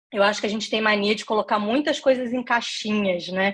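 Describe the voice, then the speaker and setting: A woman talks at a moderate pace in a Rio de Janeiro accent. Her pitch is fairly high. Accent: carioca. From Brazil, Rio de Janeiro state (Niterói). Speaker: career and leadership consultant, lecturer. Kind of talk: online lecture / masterclass.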